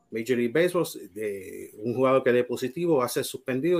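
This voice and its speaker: On a very clean recording with a silent background, a man with a Puerto Rican accent speaks at a fairly quick pace, his medium pitch showing ordinary variation. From Puerto Rico, Mayagüez. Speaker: baseball writer and Hall of Fame voter. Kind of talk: panel discussion.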